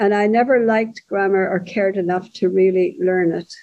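With an Irish accent, the speaker talks at a moderate pace using fairly even intonation. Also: woman. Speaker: author. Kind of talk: casual interview chat.

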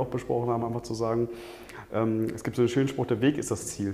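A man with a medium-pitched voice is heard against noticeable background noise. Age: 50s. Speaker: management consultant, coaching client. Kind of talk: interview. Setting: on location overlooking a Hamburg street. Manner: hesitant, many filler sounds.

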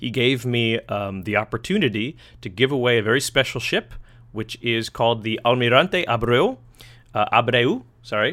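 The man talks at a moderate pace. His pitch is medium. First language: English (speaks learner Spanish). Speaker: podcast host. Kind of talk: casual interview in English and Spanish. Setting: online call.

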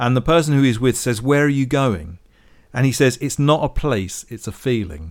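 A man with an unremarkable speaking voice talks at a medium pitch. His intonation is lively. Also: moderate pace. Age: 40s. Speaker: podcast co-host. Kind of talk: casual chat. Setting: studio.

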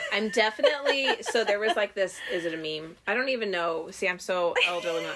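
A woman talks with lively intonation and hardly any pauses. Noticeable background noise runs behind her. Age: 30s. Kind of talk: casual chat.

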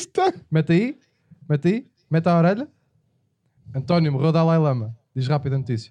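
A man's fairly high, dark and mellow voice at a fairly quick pace, lively in intonation yet broken by long, frequent pauses. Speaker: podcast host. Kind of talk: casual comedic chat.

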